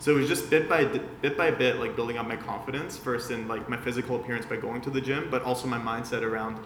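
This man speaks at a very fast pace with a medium pitch. Noticeable background noise runs behind him. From Vienna, Austria. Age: 20s. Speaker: digital marketing agency founder. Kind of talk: casual interview chat.

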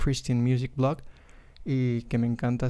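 A man's medium-pitched voice at a moderate pace. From Mexico, Monterrey. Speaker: podcast host, graphic designer. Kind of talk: casual monologue. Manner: hesitant, many fillers.

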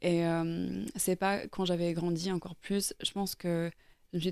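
At a fairly slow pace, the voice holds a monotone, flat intonation over a very clean recording with a silent background. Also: woman. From Ireland, raised in Norway. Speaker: painter. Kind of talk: interview. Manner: hesitant.

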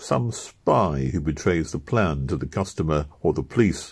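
A man's voice with vocal fry. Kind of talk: literary audiobook reading, storytelling narration of a first-person memoir. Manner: measured, steady narrator's pace with dry wry humor and a lightly amused tone.

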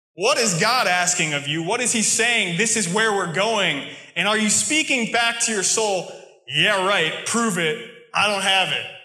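Against noticeable background noise, a man with an American accent projects a raised, high-pitched voice at a fairly slow pace, with ordinary pitch variation. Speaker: preacher. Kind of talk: sermon. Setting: church with congregation.

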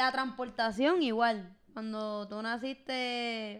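This woman speaks at a very slow pace. Her intonation stays fairly even. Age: 20s. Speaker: podcast host. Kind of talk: casual chat.

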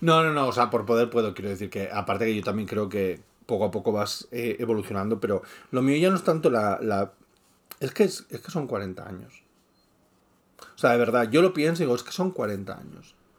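This man has a normal speaking voice at a medium pitch, moving at a moderate pace. His intonation is lively, and his loudness swings widely. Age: 40s. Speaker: podcast co-host, YouTuber. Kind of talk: casual chat.

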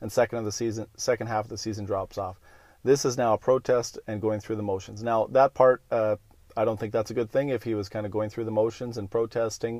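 A man with a Canadian accent rattles along at a very fast pace in a monotone, flat delivery at medium pitch, with a dry, close sound with no echo. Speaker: hockey podcast host. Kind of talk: solo monologue. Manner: casual, many filler words.

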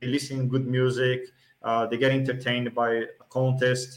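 In a Portuguese accent, a man with a medium pitch speaks at a fairly slow pace with monotone, flat intonation. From Brazil. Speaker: sports event organizer. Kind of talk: podcast interview.

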